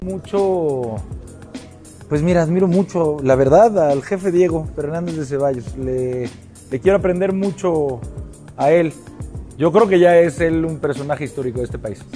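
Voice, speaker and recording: A man at a fairly slow pace with long, frequent pauses and ordinary pitch variation, over faint music in the background. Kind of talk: interview answer. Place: hall. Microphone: lapel.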